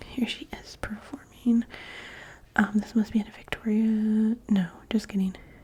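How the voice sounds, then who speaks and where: A soft-spoken woman talks at a fairly slow pace and a fairly high pitch, with long, frequent pauses. Her loudness swings widely, and background noise is noticeable. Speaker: ASMR content creator. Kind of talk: ASMR magazine flip-through, casual talk to camera. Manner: soft-spoken, casual, chatty.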